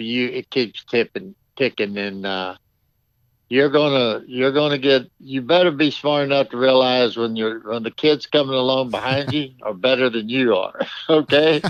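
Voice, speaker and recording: Dry and close with no echo, a man speaks in a plain, everyday voice at a medium pitch and moderate pace, with ordinary pitch variation. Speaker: Hall of Fame horse trainer, former bull-riding champion, author. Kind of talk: interview answer, casual conversational.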